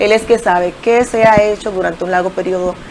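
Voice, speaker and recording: Intonation stays fairly even. Light background noise is present. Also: woman. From Dominican Republic, Santiago (Jacagua); Dominican Republic. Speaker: local political candidate; candidate. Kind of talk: TV interview. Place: studio. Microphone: lapel.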